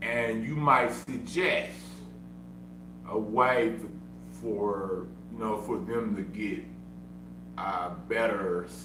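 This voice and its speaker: A man with an American accent speaks very slowly, with long, frequent pauses and big swings in loudness, in a room with audible echo. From Oklahoma. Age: 30s. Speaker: streamer. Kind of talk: casual livestream talk. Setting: at home. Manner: animated.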